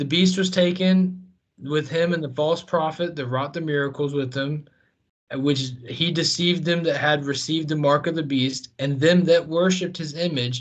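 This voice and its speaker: With an American accent, a man speaks at a moderate pace in a fairly high, somewhat breathy voice with ordinary pitch variation. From US South. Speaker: Bible study podcast co-host. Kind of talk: casual Bible discussion.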